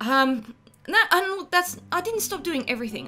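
Music plays behind a woman with an Australian accent. She talks at a moderate pace with very wide pitch swings. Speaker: artist. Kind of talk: casual talk to camera. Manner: unscripted, with stammers and ums.

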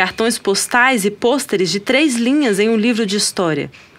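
A woman speaks with a Brazilian accent at a fairly slow pace. Her tone is intense. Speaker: guest poetry reader. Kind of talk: poem reading aloud, spoken-word style, impassioned and rhythmic. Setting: studio recording. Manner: intense, deliberate, emphatic.

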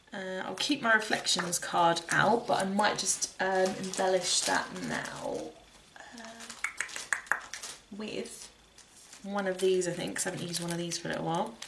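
Noticeable background noise sits behind a woman of medium pitch who speaks at a fairly slow pace with ordinary pitch variation. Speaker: crafter vlogger. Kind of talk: casual vlog, craft tutorial. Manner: chatty, informal.

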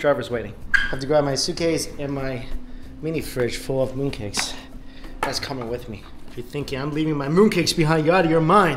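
A man talks fairly quickly with ordinary pitch variation while noticeable background noise carries on. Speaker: travel vlogger. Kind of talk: casual vlog chat.

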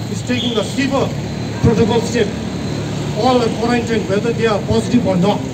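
Loud background noise fills the clip. A man speaks at a very fast pace. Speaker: protest speaker. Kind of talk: protest speech. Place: street.

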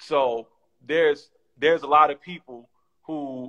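The background is quiet. A man speaks with a fairly high pitch. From Oakland, California; California. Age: 30s. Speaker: documentary director; guest. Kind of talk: casual interview. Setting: video call. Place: home room. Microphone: video call.

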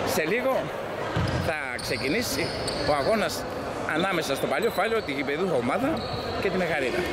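The speech moves at a fairly quick pace with a dry sound and no echo. Loud background noise fills the clip. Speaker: amateur match commentator. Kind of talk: commentary. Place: hall.

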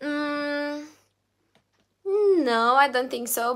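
Over a quiet background, a woman speaks at a very slow pace. She has a Romanian accent. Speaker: singer and YouTuber; YouTuber. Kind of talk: live stream Q&A reading chat. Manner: halting, many fillers. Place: home room. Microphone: phone near.

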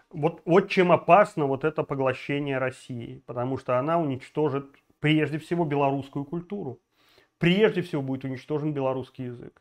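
In an animated tone, a man talks at a moderate pace with a fairly high pitch and ordinary pitch variation over a quiet background. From Belarus. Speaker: political video blogger. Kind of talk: political commentary monologue; political commentary vlog. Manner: animated, with many filler sounds. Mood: indignant, outraged. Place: home room. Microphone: lapel.

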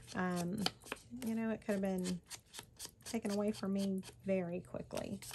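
A woman speaks at a moderate pace with monotone, flat intonation and very even loudness. Long, frequent pauses break up her speech over noticeable background noise. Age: 40s. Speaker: crafting YouTuber. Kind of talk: personal storytelling; crafting tutorial. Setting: home craft table, on camera. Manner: casual, hesitant with many fillers. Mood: reflective personal story.

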